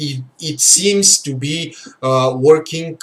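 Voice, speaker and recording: A man with a Bulgarian accent, amid noticeable background noise. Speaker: game livestream host. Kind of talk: livestream commentary. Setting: live stream. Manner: halting, many fillers; slow.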